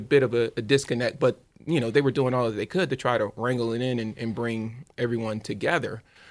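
Speaking at a fairly quick pace, a man with an American accent has a normal speaking voice, medium pitch and ordinary pitch variation, on a very clean recording with a silent background. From Louisiana, US South. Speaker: sneaker entrepreneur and podcast host. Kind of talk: casual interview chat.

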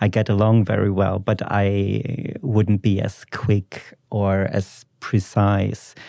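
A man with a German accent speaks very slowly in a flat monotone, his fairly low pitch carrying a dark, mellow tone. The background is quiet. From Germany, Ruhr area. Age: 20s. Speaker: PhD student, podcast guest. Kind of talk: casual interview chat. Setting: studio.

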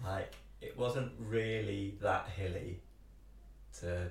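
Noticeable background noise sits behind a man speaking at a very slow pace. He leaves long, frequent pauses. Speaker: podcast host. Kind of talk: casual interview chat.

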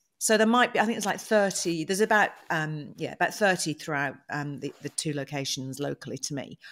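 In a British accent, a woman with a very deep, low pitch speaks at a fairly quick pace with hardly any pauses, on a very clean recording with a silent background. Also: lively intonation. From UK. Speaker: podcast host. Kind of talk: casual chat.

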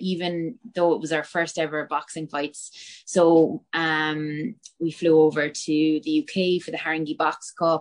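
A woman's very deep, low pitch, with fairly even intonation at a fairly slow pace. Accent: Cork. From West Cork, Ireland (Bantry). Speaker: MMA fighter. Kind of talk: interview.

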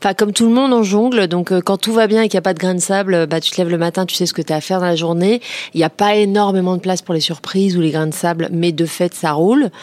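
A woman with a medium-pitched voice speaks at a very fast pace. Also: ordinary pitch variation. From Paris region, France (Créteil). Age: 40s. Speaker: entrepreneur. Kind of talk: interview.

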